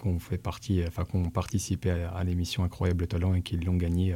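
The man's voice is very deep and low, with a dark, mellow tone. It is somewhat breathy, at a moderate pace. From Dijon, France. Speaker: hip-hop dancer. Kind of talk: casual chat.

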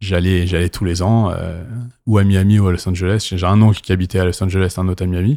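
In a very clean recording with a silent background, a man speaks at a fairly quick pace in a very deep, low pitch with monotone, flat intonation. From Paris, France. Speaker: DJ. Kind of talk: casual chat. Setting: club venue.

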